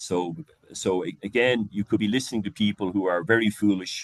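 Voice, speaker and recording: Recorded dry and close with no echo against a quiet background, a man with a very deep, low pitch talks at a moderate pace with ordinary pitch variation. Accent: Irish. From Ireland. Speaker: leadership coach. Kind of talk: lecture. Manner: halting, many fillers and repeats.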